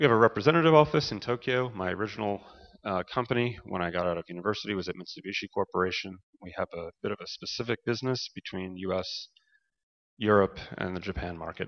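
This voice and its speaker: With a New York accent, a man talks at a very fast pace in a fairly low pitch, his intonation lively. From US, New York. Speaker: energy consultant, company director. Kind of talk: conference presentation. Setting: conference hall with audience.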